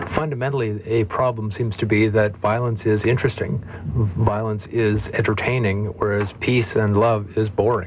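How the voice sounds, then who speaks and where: There is noticeable background noise as a man speaks at a moderate pace and fairly low pitch, with fairly even intonation and very even loudness. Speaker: commentator on the political left. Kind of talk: radio panel debate.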